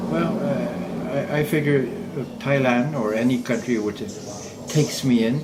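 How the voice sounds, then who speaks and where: Amid audible room echo, a man speaks at a fairly slow pace with very wide pitch swings. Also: medium pitch for a man. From Quebec, Montreal. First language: French. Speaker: semi-retired expat. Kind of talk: casual interview.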